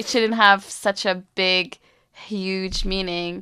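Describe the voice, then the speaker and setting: In a very clean recording with a silent background, a woman speaks in a Palestinian accent at a medium pitch. Her pace is very slow and her intonation monotone and flat. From East Jerusalem. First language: Arabic. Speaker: university student. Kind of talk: interview. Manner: casual, with filler words.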